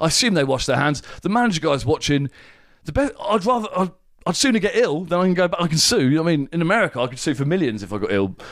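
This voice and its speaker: Talking at a very fast pace, a man uses a high pitch. His pitch swings very widely. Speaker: podcast co-host. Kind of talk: casual chat. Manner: loud.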